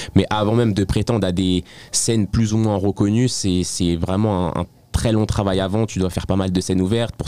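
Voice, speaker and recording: A man with a dark, mellow tone talks at a very fast pace with fairly even intonation, the sound dry and close with no echo. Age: 20s. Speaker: stand-up comedian. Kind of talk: interview. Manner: halting.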